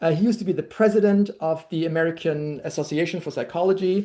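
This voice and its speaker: A woman talks at a very fast pace in a German accent, her tone dark and mellow. Her pitch is fairly low, and the background is quiet. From Germany. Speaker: language workshop leader. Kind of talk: workshop lecture. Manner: halting, many fillers.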